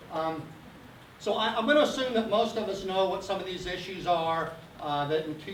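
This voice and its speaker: A man speaks fairly quickly, with noticeable background noise and audible echo in the room. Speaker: geology professor. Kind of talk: public lecture. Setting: community meeting hall with audience. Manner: animated.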